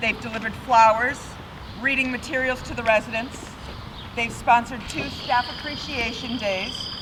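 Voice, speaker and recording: Intonation stays fairly even. Noticeable background noise and audible room echo fill the recording. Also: woman, high pitch for a woman, moderate pace. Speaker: board president. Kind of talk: ceremony speech.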